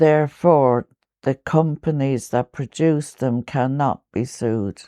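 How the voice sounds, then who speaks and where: In a very clean recording with a silent background and a dry, close sound with no echo, a woman with an Irish accent speaks in a very deep, low pitch with a dark, mellow tone and ordinary pitch variation. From Ireland. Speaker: poet. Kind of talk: interview answer.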